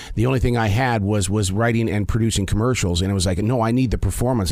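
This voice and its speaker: A man with a fairly low pitch speaks very fast, his pitch varying in an ordinary way, with noticeable noise in the background. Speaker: veteran radio broadcaster and commercial producer.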